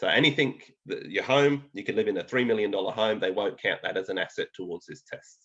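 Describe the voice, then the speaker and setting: At a moderate pace, a man speaks with a slight English accent. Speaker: financial planner presenter. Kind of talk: educational webinar presentation. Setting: online webinar. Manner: conversational, with fillers.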